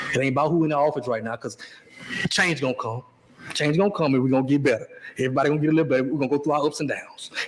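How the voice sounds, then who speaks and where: A man's fairly high-pitched voice at a very fast pace, with noticeable background noise. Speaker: sports podcast host. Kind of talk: casual chat. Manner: loud, excitable; whispering to tone down volume.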